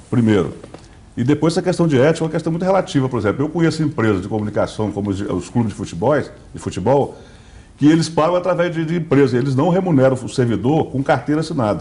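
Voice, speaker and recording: Talking at a very fast pace, a man with a fairly high pitch has vocal fry and a dark, mellow tone. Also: lively intonation. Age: 60s. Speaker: state politician. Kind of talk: interview. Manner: halting.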